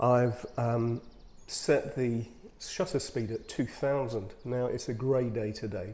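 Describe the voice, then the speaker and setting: With a British accent, a man speaks at a very slow pace and a medium pitch, his tone dark and mellow and his pitch variation ordinary. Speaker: photographer, video blogger. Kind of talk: casual tutorial vlog. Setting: outdoors, in a bird hide. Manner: whispering; hesitant, many fillers.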